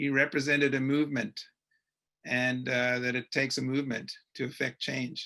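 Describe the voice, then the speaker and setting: A man in a South African accent, medium in pitch, bright and sharp in tone, fairly slow, with monotone, flat intonation. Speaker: webinar moderator, journalist. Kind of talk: panel webinar discussion.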